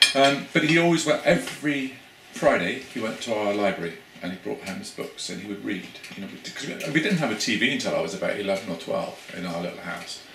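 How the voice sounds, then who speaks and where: A man rattles along at a very fast pace in a Cornish accent, with very wide pitch swings. His loudness swings widely over noticeable background noise. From Cornwall, England. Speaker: academic researcher. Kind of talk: interview conversation. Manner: hesitant, repeats words. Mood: reflective, warm. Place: home room. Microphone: camera far.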